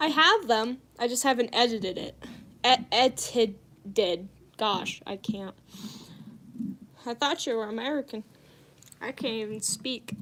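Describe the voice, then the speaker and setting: Her fairly high voice has a bright, sharp tone and ordinary pitch variation, with big swings in loudness. The woman speaks at a fairly slow pace with long, frequent pauses. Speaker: streamer. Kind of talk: casual livestream chat while crafting. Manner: chatty, animated.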